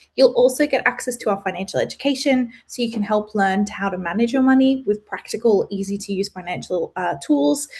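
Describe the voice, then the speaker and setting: A woman with an Australian accent speaks at a fairly high pitch in a somewhat breathy voice. She goes at a fairly quick pace with hardly any pauses and lively intonation. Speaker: webinar presenter. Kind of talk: webinar presentation. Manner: fast.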